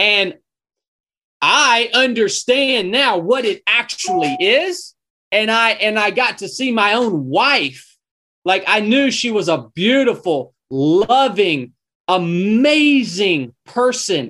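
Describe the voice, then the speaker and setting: A raised, projected voice in a Southern US accent, bright and sharp in tone, with very wide pitch swings at a very slow pace. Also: man, high pitch for a man. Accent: Southern US (Georgia). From North Georgia, US South. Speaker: former Navy SEAL, ultramarathon runner and podcaster. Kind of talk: casual interview conversation.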